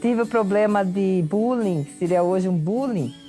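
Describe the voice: Someone speaks at a moderate pace with a rural Brazilian accent, with music playing in the background. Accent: rural Brazilian with strong rolled R.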